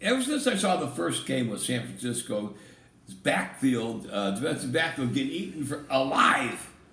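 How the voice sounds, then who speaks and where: A man of medium pitch at a fairly slow pace, with audible room echo and noticeable background noise. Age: 70s. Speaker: NFL picks co-host. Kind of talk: casual sports prediction chat. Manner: halting.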